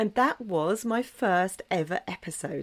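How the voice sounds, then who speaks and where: A woman with an English accent and lively intonation on a very clean recording with a silent background. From southwest England, Dorset. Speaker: podcast host. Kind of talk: solo podcast monologue.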